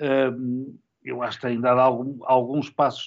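Someone with a normal speaking voice talks at a fairly slow pace. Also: man. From Portugal, Porto. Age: 60s. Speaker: sports journalist and commentator. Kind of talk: interview.

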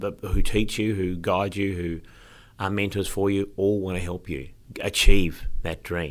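A man with a fairly low pitch speaks at a fairly slow pace with fairly even intonation. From Tasmania, Eastern Shore (Hobart). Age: 50s. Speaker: actor and musical performer. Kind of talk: interview. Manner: halting, many fillers.

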